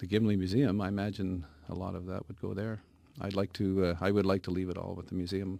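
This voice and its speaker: Over music in the background, someone talks at a very fast pace with an Canadian accent in a monotone, flat intonation. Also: man, very deep, low pitch for a man. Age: 60s. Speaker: woodcarver. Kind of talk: radio interview. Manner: halting, many repeated words.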